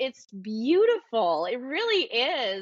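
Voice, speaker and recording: Loud and animated, a woman speaks with an American accent. Her pitch swings very widely. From US South, Atlanta area. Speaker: yoga teacher and studio owner. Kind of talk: casual interview chat. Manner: exuberant, animated.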